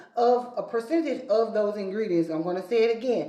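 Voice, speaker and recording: Noticeable background noise and audible room echo surround the recording. A woman speaks at a fairly high pitch. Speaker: skincare educator. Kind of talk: tutorial. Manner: fast.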